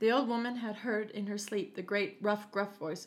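With fairly even intonation, the speaker is plainly reading aloud.

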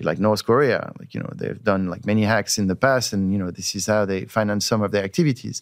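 A man speaks with a French accent. The recording is very clean, with a silent background. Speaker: tech company CEO. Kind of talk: casual interview conversation.

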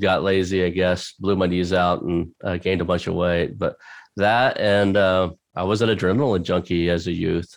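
The speaker goes at a fairly slow pace with fairly even intonation. The background is quiet. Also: man. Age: 50s. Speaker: acquisition entrepreneur and podcast host. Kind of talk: casual interview chat. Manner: halting, many fillers and restarts.

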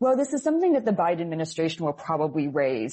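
A woman speaks with a very deep, low pitch. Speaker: politics professor. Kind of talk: expert interview.

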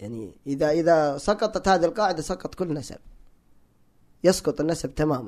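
Lively intonation marks this man's speech. He talks at a moderate pace. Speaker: electrical engineer and language enthusiast. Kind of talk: casual interview conversation. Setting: studio.

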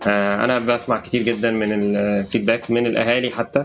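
A man speaks with an Egyptian accent at a medium pitch. His intonation stays fairly even. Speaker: edtech startup co-founder and CEO. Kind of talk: interview.

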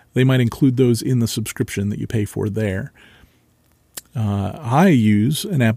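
In an American accent, a man with a dark, mellow tone and medium pitch speaks at a fairly slow pace with ordinary pitch variation on a very clean recording with a silent background. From central Ohio, US. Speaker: local history podcast host. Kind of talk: solo podcast monologue.

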